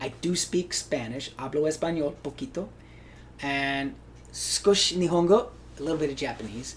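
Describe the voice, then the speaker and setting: With vocal fry and a fairly high pitch, a man keeps his intonation lively. He moves at a moderate pace. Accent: American. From Hawaii. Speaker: actor. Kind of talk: interview.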